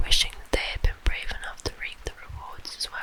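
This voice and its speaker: A woman whispering at a moderate pace over noticeable background noise. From British. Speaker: ASMR creator. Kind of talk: ASMR guided relaxation. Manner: whispered, soft-spoken.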